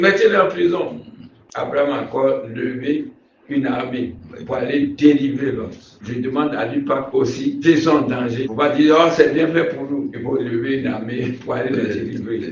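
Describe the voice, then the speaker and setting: A man's fairly high-pitched voice comes through with noticeable background noise and audible echo from the room. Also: ordinary pitch variation, moderate pace, big swings in loudness. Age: 70s. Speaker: pastor. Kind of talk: sermon-style advice in an interview. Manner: halting, repeats words.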